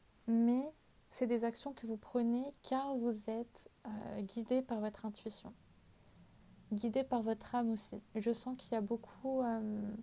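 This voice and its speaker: A woman speaks very slowly in a fairly high pitch, her dark, mellow tone held in a flat monotone. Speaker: tarot card reader. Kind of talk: tarot reading. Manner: hesitant, many fillers.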